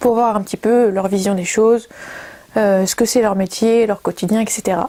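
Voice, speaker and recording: With a fairly high pitch, a woman speaks in a dark, mellow tone at a fairly slow pace and with fairly even intonation. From Brittany, France. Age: 20s. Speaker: communication student and video maker. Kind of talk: project presentation to camera. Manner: hesitant, many fillers.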